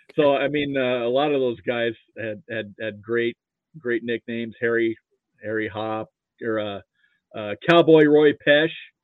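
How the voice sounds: A man with an American accent speaks at a fairly slow pace. The sound is dry and close with no echo, and his pitch variation is ordinary. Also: medium pitch for a man.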